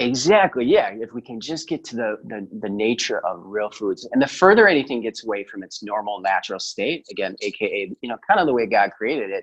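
A man with a normal speaking voice and a medium pitch is heard. He talks at a fairly quick pace with lively intonation. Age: 40s. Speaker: chiropractor and health coach. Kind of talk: podcast interview.

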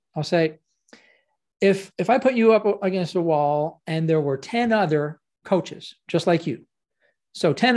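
A man speaks with a Canadian accent and a high pitch. The recording is very clean, with a silent background. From Ottawa, Canada. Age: 60s. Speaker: professional speaker and coach. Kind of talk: casual interview chat.

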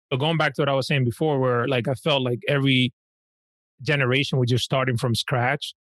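A man at medium pitch and a fairly quick pace, fairly even intonation, very even loudness, dry and close sound with no echo, very clean recording with a silent background. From Dominican Republic, then Washington Heights, New York. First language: Spanish. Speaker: financial planner. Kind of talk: casual chat.

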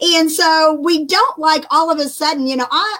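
A woman speaks at a moderate pace with a fairly bright tone.

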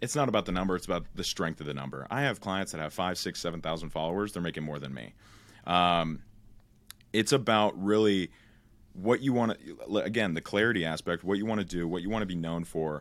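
A very fast, lively man's voice at a very deep, low pitch, in a very clean recording with a silent background. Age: young. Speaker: social media coach. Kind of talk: casual interview on a live stream. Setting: live stream. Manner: repetitive, stumbling restarts.

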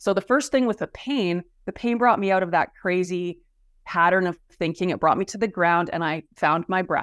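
A woman's plain, everyday voice at medium pitch and moderate pace, in a very clean, dry, close recording with a silent background and no echo. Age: 50s. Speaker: fascia therapist and wellness coach. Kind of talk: interview conversation.

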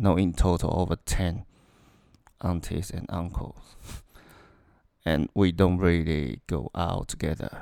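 With a non-native accent, a man speaks at a very deep, low pitch and a fairly slow pace, his intonation fairly even and his speech broken by long, frequent pauses. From Taiwan. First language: Mandarin Chinese. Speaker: engineer. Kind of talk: casual interview. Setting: recorded together in same room. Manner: halting.

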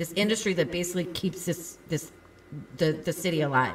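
Through noticeable background noise, a woman speaks with a fairly low pitch and ordinary pitch variation. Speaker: podcast co-host. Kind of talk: casual chat.

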